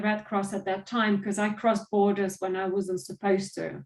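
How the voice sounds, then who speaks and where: A woman speaks in a fairly high pitch with a somewhat breathy quality. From southern Serbia. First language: Serbian and Albanian. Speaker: trafficking survivor and motivational speaker. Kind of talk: interview testimony.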